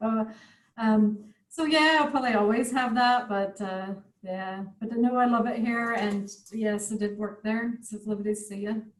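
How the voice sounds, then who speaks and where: A woman with an American accent talks at a moderate pace in a somewhat breathy, fairly high voice with fairly even intonation. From United States. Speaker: craft tutor. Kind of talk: online craft workshop chat.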